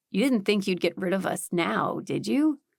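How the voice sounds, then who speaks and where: Using a put-on character voice, a woman speaks at a medium pitch with very wide pitch swings. Her pace is moderate. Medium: read story. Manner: wry, joking.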